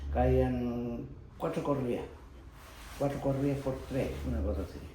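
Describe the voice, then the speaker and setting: Through audible room echo and noticeable background noise, a man speaks at a fairly slow pace. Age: 80s+. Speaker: retired pottery factory worker. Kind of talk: oral history interview. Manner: halting, with false starts.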